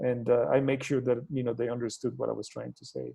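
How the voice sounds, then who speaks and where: A man speaks with a Mexican accent at a medium pitch. His intonation stays fairly even. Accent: Mexican Spanish accent, noticeable. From Mexico, Torreón. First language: Spanish. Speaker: NASA scientist, guest speaker. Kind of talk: talk to educators over video call. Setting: video call. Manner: halting, many fillers.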